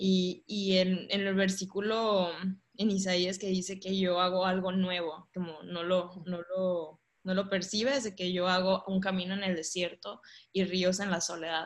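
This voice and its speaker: A woman at medium pitch, fairly slow, with monotone, flat intonation. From Monterrey, northern Mexico. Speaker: church member sharing testimony. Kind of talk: testimony.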